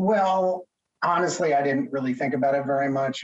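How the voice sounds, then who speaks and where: Someone with an American accent talks at a moderate pace in an unremarkable speaking voice. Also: man. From US Northeast, Connecticut. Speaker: telecom lawyer. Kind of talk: interview.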